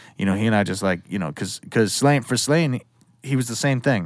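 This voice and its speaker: A man's ordinary speaking voice in an American accent, at a fairly quick pace with lively intonation. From Western Massachusetts. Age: 30s. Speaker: music producer and engineer. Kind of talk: casual chat.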